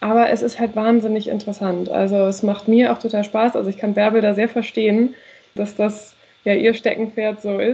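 Her pitch is fairly high and her pace moderate. This woman's intonation stays monotone and flat. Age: 20s. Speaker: PR trainee. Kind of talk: casual chat.

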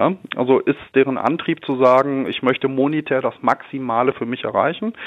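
A man's unremarkable speaking voice, fairly high-pitched, at a moderate pace with ordinary pitch variation. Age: 30s. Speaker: commercial real estate manager. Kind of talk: interview. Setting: phone call from his office. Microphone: telephone line.

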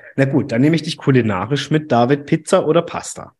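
Somewhat breathy and fairly high-pitched, a man talks with a slight Baden accent. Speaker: podcast host. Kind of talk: casual interview. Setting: video call.

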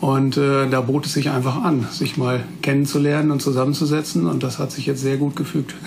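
Over noticeable background noise and audible room echo, a man with fairly high pitch speaks at a moderate pace with fairly even intonation and hardly any pauses. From Westphalia, Münsterland (Germany). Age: 40s. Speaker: prosthetist, orthopedic technician master. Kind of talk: interview, casual chat.

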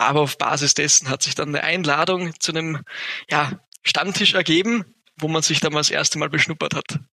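Speaking at a fairly quick pace, a man talks with fairly high pitch and ordinary pitch variation. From Upper Austria. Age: 20s. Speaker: entrepreneur. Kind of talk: interview. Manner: hesitant, many fillers.

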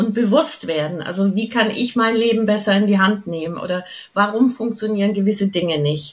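A woman's medium-pitched voice at a moderate pace, a plain, everyday voice. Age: 60s. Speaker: channeling coach, former opera singer. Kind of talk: interview.

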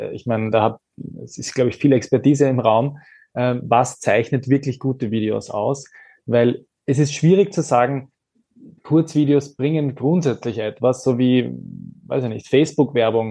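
His tone is dark and mellow, with ordinary pitch variation. The man speaks at a moderate pace, his loudness swinging a lot. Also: medium pitch for a man. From Austria. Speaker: influencer and advocacy communications head. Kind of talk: panel discussion.

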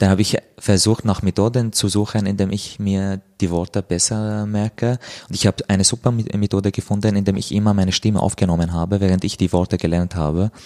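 Fairly low in pitch and dark and mellow in tone, a man talks fairly quickly in a monotone, flat delivery with hardly any pauses, the sound dry and close with no echo. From Syria, Damascus. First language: Arabic (speaking German). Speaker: author. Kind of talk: interview. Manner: halting.

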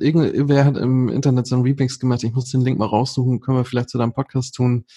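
A medium-pitched male voice comes across as somewhat breathy. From northern Germany, near Hamburg. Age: 30s. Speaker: amateur golfer and Instagram creator. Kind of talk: casual interview chat.

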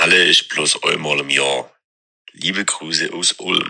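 A raspy, put-on character voice at a moderate pace. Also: man, very deep, low pitch for a man. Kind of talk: casual, dialect.

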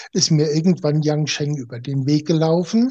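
A man speaks at a moderate speed. His voice is fairly high in pitch. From Germany. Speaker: naturopath. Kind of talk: interview. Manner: halting.

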